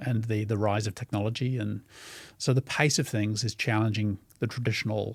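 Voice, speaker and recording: At a fairly quick pace, a man talks in a fairly low, somewhat breathy voice. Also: fairly even intonation, very clean recording, silent background. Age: 60s. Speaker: former CEO and leadership strategist. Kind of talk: interview.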